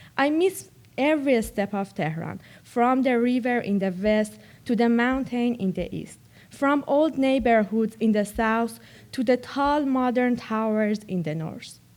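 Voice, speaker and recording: At a fairly slow pace, a woman with a Persian accent speaks at a fairly high pitch with lively intonation. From Iran. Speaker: college student, reader. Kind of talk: reading aloud.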